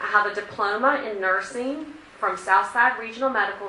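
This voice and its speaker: A woman with an American accent speaks at a moderate pace, her fairly high voice showing ordinary pitch variation. Audible room echo and noticeable background noise are present. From Virginia. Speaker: cardiac rehabilitation nurse. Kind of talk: talk to a community group. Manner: loud.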